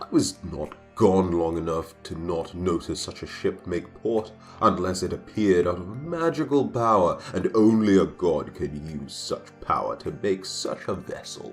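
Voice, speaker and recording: Clear music plays in the background as a man uses a put-on character voice at a fairly low pitch and moderate pace. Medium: read story. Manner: proud, angry.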